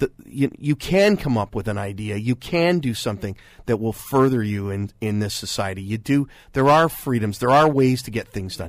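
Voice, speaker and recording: A man talks at a moderate pace with medium pitch and lively intonation, in an unremarkable speaking voice. The recording is very clean, with a silent background. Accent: Canadian. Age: 50s. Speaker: radio and TV host, media consultant. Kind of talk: radio panel discussion on current affairs. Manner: playful, self-deprecating banter with frequent laughs.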